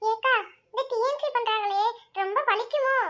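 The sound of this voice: A woman uses a cartoonish character voice that is squeaky and extremely high in pitch, speaking at a fairly slow pace with fairly even intonation.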